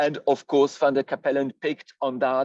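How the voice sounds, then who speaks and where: A man's medium-pitched voice with a French accent, dry and close with no echo. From France. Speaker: historian. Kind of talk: lecture. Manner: halting, many fillers.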